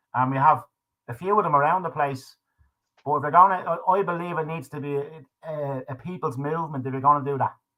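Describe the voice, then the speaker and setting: A man with an Irish accent, fairly high-pitched and bright and sharp in tone, very fast, with fairly even intonation. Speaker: livestream talk show host. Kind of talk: casual chat. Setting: live stream.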